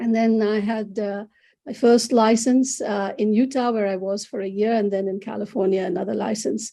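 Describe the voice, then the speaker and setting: A woman with a Bengali accent speaks at a moderate pace. Her voice is fairly high, with a dark, mellow tone. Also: fairly even intonation. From India. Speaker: psychologist. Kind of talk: interview. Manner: halting.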